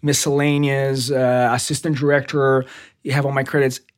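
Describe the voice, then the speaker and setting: Recorded very cleanly against a silent background, a man with a Portuguese accent and a fairly high pitch talks at a moderate pace. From Brazil, São Paulo. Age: 30s. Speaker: TV director. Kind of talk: casual interview chat.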